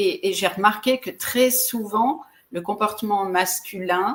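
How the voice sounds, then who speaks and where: A woman speaks very slowly, her pitch varying in an ordinary way. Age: 60s. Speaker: relationship coach and speaker. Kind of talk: interview. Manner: halting, with repeated words and fillers.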